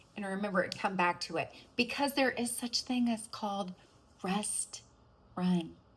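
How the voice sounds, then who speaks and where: At a fairly slow pace, a woman speaks in a somewhat breathy, animated tone with ordinary pitch variation. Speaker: real estate agent. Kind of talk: business coaching talk to camera. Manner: casual, animated.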